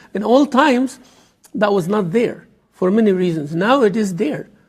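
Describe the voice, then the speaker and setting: In an Arabic accent, a man speaks at a high pitch. His pace is moderate and his pitch variation ordinary. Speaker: imam. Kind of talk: lecture. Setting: mosque.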